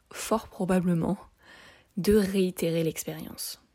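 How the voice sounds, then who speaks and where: A woman speaks very slowly at a medium pitch, somewhat breathy, with a dark, mellow tone. Her intonation is fairly even, and the recording is very clean with a silent background. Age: 30s. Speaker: energy healer and podcast host. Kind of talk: solo podcast talk explaining exercises.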